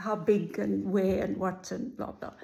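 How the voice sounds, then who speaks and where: A woman with a somewhat breathy voice speaks at a fairly slow pace. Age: 60s. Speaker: vlogger sharing cancer journey. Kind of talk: personal video diary. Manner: casual with filler words.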